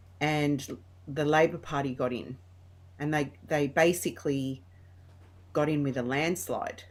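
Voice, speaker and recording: A woman speaks with a strong Australian accent and a very deep, low pitch, at a fairly slow pace with long, frequent pauses and fairly even intonation. The recording is very clean, with a silent background. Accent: broad Australian. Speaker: interview guest. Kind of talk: casual chat.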